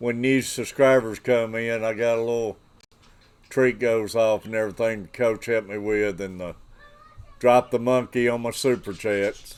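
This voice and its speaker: A man with a Southern US accent, at a moderate pace and with fairly even intonation. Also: medium pitch for a man. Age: 60s. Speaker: fishing livestreamer. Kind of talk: casual livestream chat. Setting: livestream.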